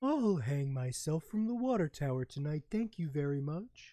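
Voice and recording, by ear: A put-on character voice at middle pitch moves at a moderate pace.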